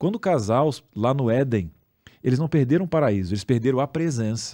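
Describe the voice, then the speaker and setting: A man speaks at a moderate pace in a dark, mellow tone of medium pitch, with very wide pitch swings. The recording is very clean, with a silent background. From southern Brazil, Rio Grande do Sul. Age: 40s. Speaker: podcast co-host. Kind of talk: religious discussion.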